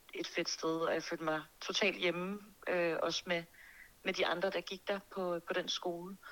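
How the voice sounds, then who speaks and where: A woman's fairly low voice, an ordinary speaking voice, with fairly even intonation. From Denmark, Birkerød near Copenhagen. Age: 20s. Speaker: singer and music producer. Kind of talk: interview.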